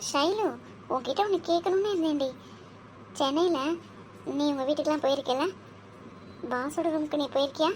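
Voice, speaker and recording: In a cartoonish character voice, a woman speaks with high pitch, ordinary pitch variation, very even loudness and a moderate pace over clear background noise. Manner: flustered, hurried.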